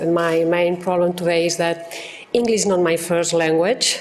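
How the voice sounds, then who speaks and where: With a Catalan accent, a woman speaks at a moderate pace and fairly low pitch, with noticeable background noise and audible room echo. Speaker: law professor, clinic director. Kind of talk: conference talk. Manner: halting.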